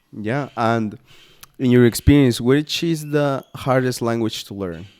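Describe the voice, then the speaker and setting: A man's medium-pitched voice with a Guatemalan accent, a fairly slow pace, ordinary pitch variation and big swings in loudness. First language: Spanish. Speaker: language school staff. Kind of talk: interview.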